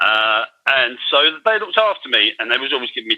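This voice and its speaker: Talking fairly quickly, a man speaks with a London accent. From London, England (Irish-born). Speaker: former offender turned digital artist. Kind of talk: interview testimony. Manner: halting, with many fillers and repetitions.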